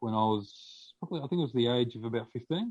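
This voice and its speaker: A man with an Australian accent. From Australia (Victoria). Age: 30s. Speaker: podcast guest sharing testimony. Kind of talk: testimony. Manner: halting, many fillers.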